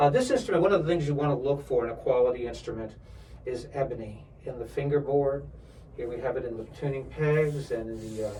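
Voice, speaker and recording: With audible room echo, a man speaks at a fairly quick pace in a fairly high voice whose pitch varies in an ordinary way. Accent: American. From New York area. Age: 60s. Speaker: violin instructor and professional string player. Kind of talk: product demonstration. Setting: music store.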